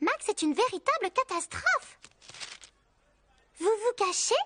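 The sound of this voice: A squeaky, cartoonish character voice, female-sounding and extremely high-pitched for a woman, at a moderate pace.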